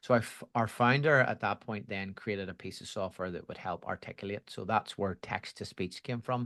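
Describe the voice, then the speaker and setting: Speaking with a Belfast accent, a man keeps a moderate pace with hardly any pauses, his fairly low pitch showing ordinary variation and a bright, sharp tone, the sound dry and close with no echo against a quiet background. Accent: Belfast Irish. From Northern Ireland, Belfast. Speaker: education executive at a software company. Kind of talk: podcast interview.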